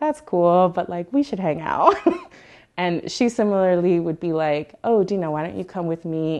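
With lively intonation and big swings in loudness, a woman at a fairly low pitch speaks at a moderate pace over a quiet background. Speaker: interviewee. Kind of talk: interview answer. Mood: warm, amused, laughing often. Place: home room. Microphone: lapel.

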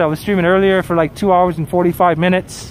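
A man with a high pitch talks at a fairly quick pace, the sound dry with no echo and light background noise behind him. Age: 40s. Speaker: travel live streamer. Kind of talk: casual live stream commentary reading chat. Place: street. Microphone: phone near.

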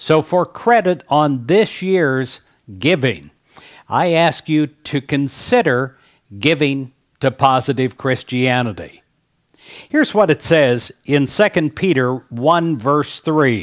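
A man's very slow delivery against a quiet background. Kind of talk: fundraising appeal and devotional talk. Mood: warm, gentle, smiling. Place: studio. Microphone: headset.

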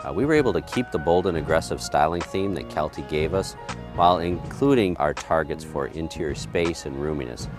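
A man talks at a fairly quick pace in a very deep, low voice. The sound is dry with no echo, and music plays clearly in the background. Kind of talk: interview answer. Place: street. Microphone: lapel.

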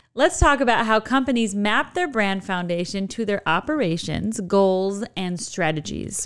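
Lively intonation marks this woman's American accent. She speaks at a fairly slow pace against a quiet background. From Chicago, Illinois. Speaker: podcast host. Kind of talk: podcast interview. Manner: animated. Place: studio. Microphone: studio mic.

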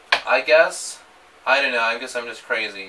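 The speaker is a man. He talks at a moderate pace. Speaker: vlogger. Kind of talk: emotional personal vlog message. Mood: emotional, hesitant, nervous laughs. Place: empty room. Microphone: camera far.

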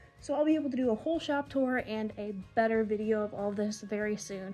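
A woman with ordinary pitch variation over faint music in the background. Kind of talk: casual vlog chat. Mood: friendly, upbeat. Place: shop. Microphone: phone near.

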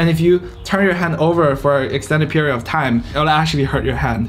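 Over faint music in the background, a man speaks at a fairly quick pace. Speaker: student vlogger. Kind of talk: casual vlog chat. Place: home room.

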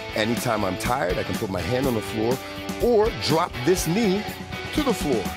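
Clear music plays in the background, and the sound is dry with no echo. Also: man. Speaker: fitness instructor. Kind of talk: workout instruction cues. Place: studio.

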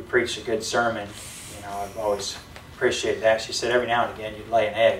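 With light background noise and audible room echo, a man talks at a fairly quick pace. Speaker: preacher. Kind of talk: sermon. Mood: lighthearted, amused. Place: church. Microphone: camera far.

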